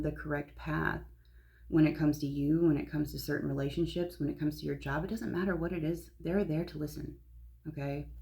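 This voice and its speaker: Audible room echo surrounds a woman as she speaks. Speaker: spiritual content creator, psychic reader. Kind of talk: casual spiritual talk to camera. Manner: whispering briefly; casual, filler-heavy.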